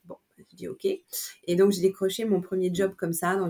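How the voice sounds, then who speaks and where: Her pitch medium and her intonation monotone and flat, a woman speaks at a moderate pace. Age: 50s. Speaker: image consultant and personal shopper. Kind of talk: interview. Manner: hesitant, many fillers.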